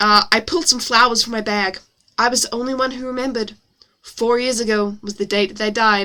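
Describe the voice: The clip is plain reading aloud with fairly even intonation over a quiet background.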